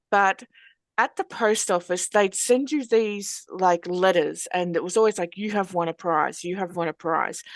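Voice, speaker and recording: In an Australian accent, a woman speaks at a moderate pace, the sound dry and close with no echo. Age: 40s. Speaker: interviewer for a hypnotherapy organisation. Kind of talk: casual interview chat.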